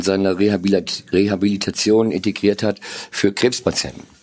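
His pitch fairly low, a male speaker talks with fairly even intonation. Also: very clean recording, silent background. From northern Germany (Lower Saxony). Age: 50s. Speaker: marketing executive. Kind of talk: interview. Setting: studio. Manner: hesitant with fillers.

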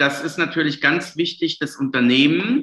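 The man's tone is bright and sharp. He has a fairly high pitch. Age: 40s. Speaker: lawyer and tax advisor. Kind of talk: interview.

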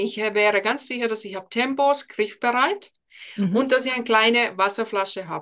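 A woman with a Finnish accent and a fairly high pitch. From Finland. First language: Finnish (speaking German). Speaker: speech coach. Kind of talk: interview.

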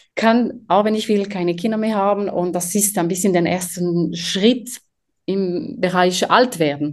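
A woman's medium-pitched voice at a very slow pace, with ordinary pitch variation and a quiet background. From French-speaking Switzerland. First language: French (speaking German). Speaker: company co-founder, materials scientist. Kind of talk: interview.

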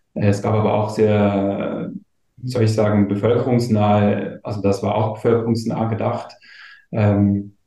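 Fairly low and somewhat breathy, a man's dark, mellow voice moves at a fairly slow pace in a monotone, flat way. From eastern Switzerland (Gommiswald, St. Gallen). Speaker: community manager. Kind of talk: casual chat.

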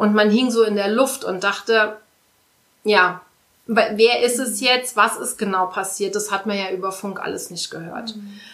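An ordinary speaking voice from a woman, fairly high in pitch, at a fairly slow pace with fairly even intonation and big swings in loudness. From Saarland, Saarbrücken. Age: 30s. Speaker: volunteer firefighter. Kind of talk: interview.

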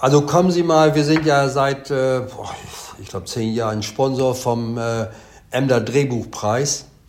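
The speaker goes at a fairly slow pace with ordinary pitch variation and big swings in loudness, against noticeable background noise and audible room echo. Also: man, medium pitch for a man. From East Frisia, northern Germany. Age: 70s. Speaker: haulage company owner. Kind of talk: interview. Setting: video call. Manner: hesitant, many fillers.

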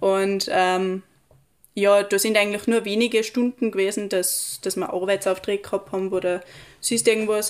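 A woman speaks at a medium pitch in a monotone, flat intonation. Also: moderate pace. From Austria, Tyrol (Pillersee valley). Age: young. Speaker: recent school graduate. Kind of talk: casual interview chat. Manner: halting, many fillers.

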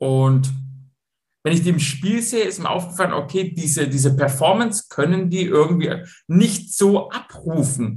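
Speaking at a moderate pace with lively intonation, a man with a Swabian accent uses a high pitch, and audible room echo surrounds him. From Swabia, Stuttgart (southwest Germany). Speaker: football coach and mental training entrepreneur. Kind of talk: interview.

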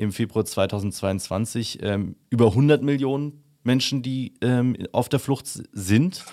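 A man speaks in an ordinary speaking voice. The recording is very clean, with a silent background. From Upper Bavaria. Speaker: podcast host. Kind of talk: interview.

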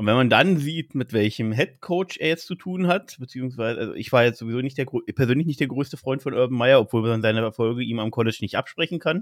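A man with a normal speaking voice talks at a fairly quick pace and a medium pitch, with ordinary pitch variation. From Berlin, Germany. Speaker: trainee care worker and fan podcaster. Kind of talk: casual chat.

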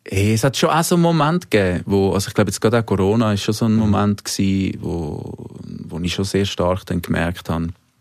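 A man's very fast, fairly low-pitched voice with lively intonation. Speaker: singer-songwriter. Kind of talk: casual interview. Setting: studio.

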